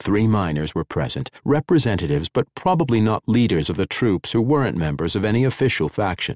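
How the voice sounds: Reading done in a natural voice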